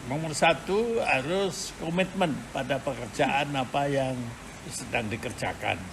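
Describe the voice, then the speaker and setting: Audible room echo and noticeable background noise surround a man's fairly high voice. He talks at a fairly slow pace with lively intonation. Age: 80s+. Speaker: elderly interviewee recalling the New Order era. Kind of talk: interview. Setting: video-recorded home interview by school students. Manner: hesitant, frequent filler sounds.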